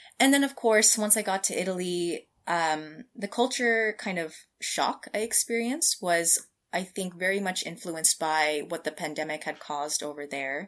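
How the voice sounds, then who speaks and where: On a very clean recording with a silent background, a woman speaks at a medium pitch and a moderate pace. She has an American accent and lively intonation. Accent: American, general. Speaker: scientist. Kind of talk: casual interview.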